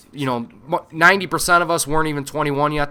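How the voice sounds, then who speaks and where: At a very fast pace, a man speaks with a fairly high pitch and a bright, sharp tone. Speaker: Marine veteran and gaming video host. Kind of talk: casual monologue. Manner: halting, stumbling over words.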